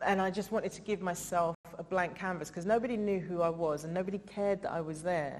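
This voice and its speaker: Speaking very fast with hardly any pauses, a woman with an English accent has a medium pitch, and noticeable background noise sits behind her. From England. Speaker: comedian and writer. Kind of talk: festival interview talk. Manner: animated.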